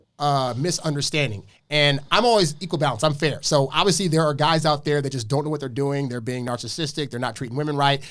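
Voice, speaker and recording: With an American accent, a man talks at a very fast pace with hardly any pauses, his pitch fairly high for a man. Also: ordinary pitch variation. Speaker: dating advice guest. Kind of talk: podcast debate.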